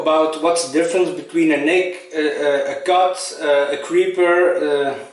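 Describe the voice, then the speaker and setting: Amid noticeable background noise and audible room echo, a man with a high pitch speaks at a moderate pace in monotone, flat intonation. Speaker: shaving vlogger and first responder. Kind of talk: casual vlog tutorial. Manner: halting, with many fillers.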